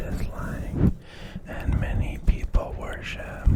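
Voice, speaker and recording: A whispering voice with a soothing tone moves at a very slow pace over noticeable background noise. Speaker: ASMR creator. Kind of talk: ASMR whispered news commentary. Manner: whispered, soothing.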